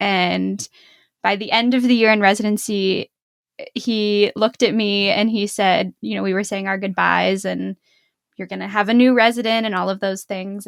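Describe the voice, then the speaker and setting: A moderate pace in a Pittsburgh accent, with dry, close sound and no echo on a very clean recording with a silent background. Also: woman. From western Pennsylvania (Pittsburgh). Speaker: dentist, podcast co-host. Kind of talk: casual chat.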